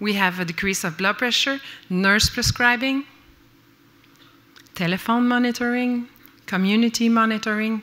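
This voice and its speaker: At a moderate pace, a woman with a Quebec French accent speaks with long, frequent pauses, a fairly high pitch, and ordinary pitch variation. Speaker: nurse researcher and lecturer. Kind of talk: conference lecture. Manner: halting, with many fillers.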